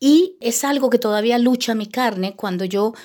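Recorded very cleanly against a silent background, a woman speaks at a high pitch. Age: 50s. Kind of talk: testimony.

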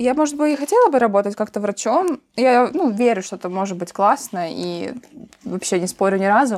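A woman's fairly high voice at a moderate pace with lively intonation, over noticeable background noise. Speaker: podcast host. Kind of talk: casual chat.

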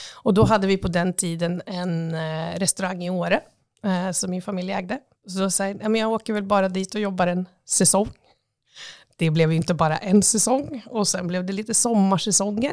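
With a normal speaking voice, a woman talks at a moderate pace and medium pitch, showing ordinary pitch variation in a very clean recording with a silent background. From Östersund, Jämtland, Sweden. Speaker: tourism agency CEO. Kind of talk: interview. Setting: office.

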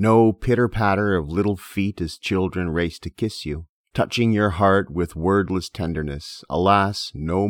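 A man's very deep, low voice at a fairly slow pace with ordinary pitch variation, dry and close with no echo on a very clean recording against a silent background. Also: hardly any pauses. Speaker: podcast host. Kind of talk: poem reading; solo lecture-style podcast. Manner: measured, rhythmic, reading verse aloud.

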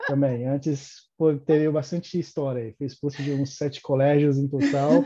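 Fairly high-pitched male speech at a moderate pace, monotone with flat intonation. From Brazil, São Paulo. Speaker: electrical engineer and immigrant. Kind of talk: casual interview. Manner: halting, many repetitions.

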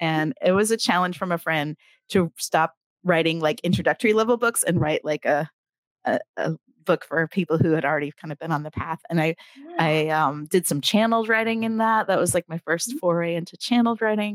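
At a fairly quick pace, a woman with a fairly low pitch talks in a normal speaking voice with ordinary pitch variation, the sound dry and close with no echo. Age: 50s. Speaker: author and writing coach. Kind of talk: casual interview chat.

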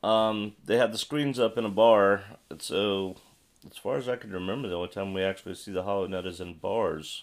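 A man speaks in an unremarkable speaking voice, fairly low in pitch. His intonation is fairly even, but his loudness swings widely. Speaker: podcast host; teacher. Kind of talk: casual chat. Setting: remote recording over internet.

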